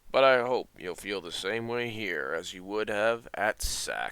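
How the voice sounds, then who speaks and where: Putting on a character voice, a man talks raspily at a fairly low pitch and a fairly slow pace. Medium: audio drama. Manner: calm, reassuring.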